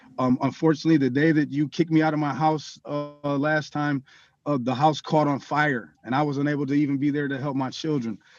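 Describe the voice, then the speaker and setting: Over background music, a man talks at a fairly quick pace in a monotone, flat delivery. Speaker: defendant in court. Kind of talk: courtroom hearing. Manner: halting.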